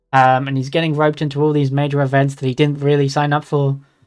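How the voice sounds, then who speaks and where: Music plays underneath the voice. The delivery is fairly quick. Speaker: VTuber streamer. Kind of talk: casual live stream commentary; reading aloud. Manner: halting.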